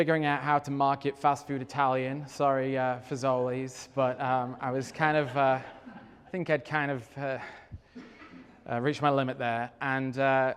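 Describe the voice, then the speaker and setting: With an English accent, a man at medium pitch speaks at a moderate pace in a monotone, flat intonation. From England. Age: middle-aged. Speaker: real estate developer. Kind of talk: talk to an audience. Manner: halting, many fillers.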